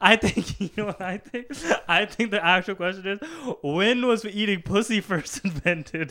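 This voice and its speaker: A man's high-pitched, raised and projected voice, bright and sharp in tone, at a moderate pace with ordinary pitch variation. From Surrey, British Columbia, Canada. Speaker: podcast host. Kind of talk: casual chat.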